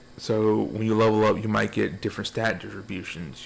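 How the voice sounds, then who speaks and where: The talker is a man, moving at a fairly quick pace. Background noise is noticeable throughout. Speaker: gaming video reviewer. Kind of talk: casual video game review. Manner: rambling, repetitive.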